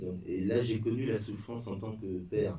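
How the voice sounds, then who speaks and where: At a fairly slow pace, a man with a fairly low pitch, a dark, mellow tone and a somewhat breathy quality speaks with ordinary pitch variation and audible room echo. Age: 60s. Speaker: bereaved father giving a talk. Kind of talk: testimony. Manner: halting.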